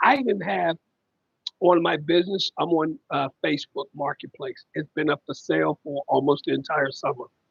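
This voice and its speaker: The voice is loud and moves at a moderate pace. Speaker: family caregiver livestreamer. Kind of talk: casual live stream chat.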